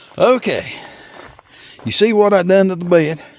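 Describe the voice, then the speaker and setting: A man with a Southern US accent. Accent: Southern US rural. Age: 60s. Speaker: farmer. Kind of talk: tutorial. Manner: casual, halting.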